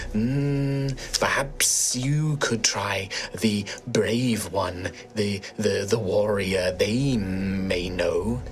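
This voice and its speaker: Soft-spoken in a put-on character voice, a man talks very slowly at a medium pitch against clear background noise. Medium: actual play. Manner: cryptic, calm.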